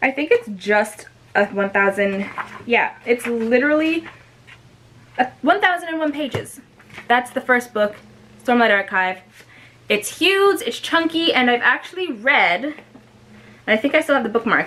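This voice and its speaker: Against noticeable background noise, a woman with a high pitch talks at a moderate pace, making very wide pitch swings and long, frequent pauses. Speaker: booktuber. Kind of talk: casual vlog talk to camera. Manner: animated.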